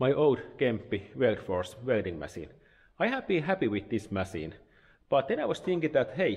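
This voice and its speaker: At a moderate pace, a man speaks with vocal fry. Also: quiet background. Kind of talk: casual vlog chat, product review. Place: workshop. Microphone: phone near.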